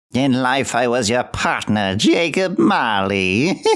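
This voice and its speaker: A man's put-on character voice at a fairly slow pace. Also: medium pitch for a man. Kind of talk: audiobook reading of classic literature.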